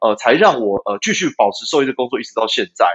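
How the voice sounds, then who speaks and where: This man's pitch rises and falls very widely. He talks fairly quickly. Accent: Taiwanese. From Taiwan, Taipei. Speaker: dairy cattle veterinarian and company founder. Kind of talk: interview. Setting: remote connection. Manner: hesitant, many filler sounds.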